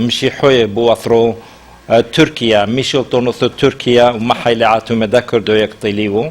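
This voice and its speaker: A man speaks at a medium pitch and a fairly slow pace in a flat monotone. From Turkey. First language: Western Assyrian. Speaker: human rights activist. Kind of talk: interview. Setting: studio. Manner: halting.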